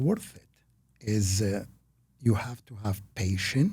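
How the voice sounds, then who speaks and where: At a very slow pace, a man with a fairly low pitch and a dark, mellow tone sounds somewhat breathy, his pitch varying in an ordinary way. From Iraq, Baghdad. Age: 60s. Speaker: real estate investor and author. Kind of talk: interview. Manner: halting, with fillers.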